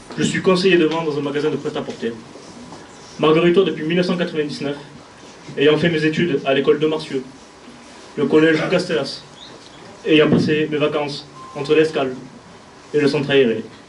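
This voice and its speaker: Long, frequent pauses break up a man's fairly high-pitched speech, and his intonation is fairly even. Audible room echo and noticeable background noise surround him. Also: fairly quick pace. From southern France (Gard). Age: 20s. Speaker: municipal election candidate. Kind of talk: campaign speech. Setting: stage with audience. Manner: formal.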